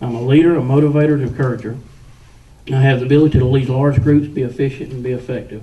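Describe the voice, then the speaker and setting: In a Southern US accent, a man speaks at a very fast pace with a medium pitch and fairly even intonation, with audible room echo and noticeable background noise. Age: 40s. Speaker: political candidate. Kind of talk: campaign speech at a candidate forum. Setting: public meeting with audience.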